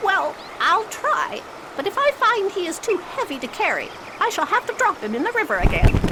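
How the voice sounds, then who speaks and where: A put-on character voice at an extremely high pitch and moderate pace, with clear background noise. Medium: audio drama.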